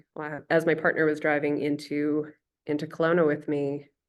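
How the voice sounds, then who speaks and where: Against a quiet background, a woman with a western Canadian accent speaks with a very deep, low pitch. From Canada, Okanagan Valley, British Columbia. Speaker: artist and researcher. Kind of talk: lecture. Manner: casual with many fillers.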